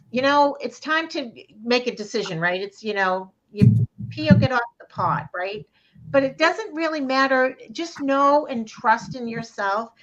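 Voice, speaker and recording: In a Boston accent, a woman speaks at a moderate pace with a fairly high pitch. Her voice moves through very wide pitch swings. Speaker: psychic card reader. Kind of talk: live online card reading. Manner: animated, conversational with frequent fillers.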